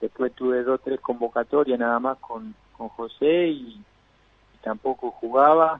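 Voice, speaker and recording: A man with a plain, everyday voice speaks at a medium pitch and a fairly slow pace. His pitch variation is ordinary. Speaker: former professional footballer. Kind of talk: interview.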